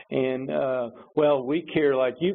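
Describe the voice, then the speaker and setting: A man with fairly even intonation and a medium pitch is heard against noticeable background noise. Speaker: webinar presenter. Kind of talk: webinar presentation. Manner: halting.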